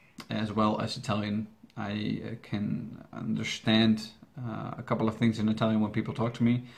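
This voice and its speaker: A man's fairly low pitch in a Dutch accent. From Netherlands. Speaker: YouTube reaction channel host. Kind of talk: Q&A video answering viewer questions. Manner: halting, with many fillers and restarts.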